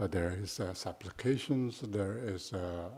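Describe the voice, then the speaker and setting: Someone with a Tibetan accent talks at a very slow pace in a somewhat breathy voice with ordinary pitch variation. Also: man. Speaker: Buddhist teacher. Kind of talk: dharma talk. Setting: shrine room retreat. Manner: halting, many fillers.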